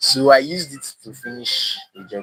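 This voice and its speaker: A man is speaking. Music plays in the background. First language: not English. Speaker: DIY maker streamer. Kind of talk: live stream demo. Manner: halting.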